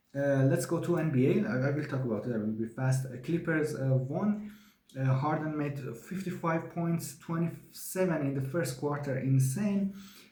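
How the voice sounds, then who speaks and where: Speaking at a moderate pace, a man has a fairly high pitch and ordinary pitch variation. Audible room echo and noticeable background noise are present. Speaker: sports show host. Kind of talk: solo sports review monologue. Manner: halting, many fillers.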